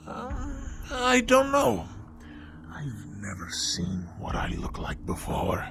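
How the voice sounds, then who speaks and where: Faint music plays in the background as someone uses a put-on character voice at a very slow pace. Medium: read story. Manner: freakishly happy.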